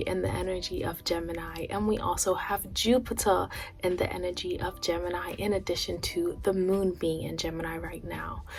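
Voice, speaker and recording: Soft-spoken, a woman talks at a moderate pace. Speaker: astrology and tarot content creator. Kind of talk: spiritual astrology talk to camera. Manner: soft-spoken, quiet; pauses.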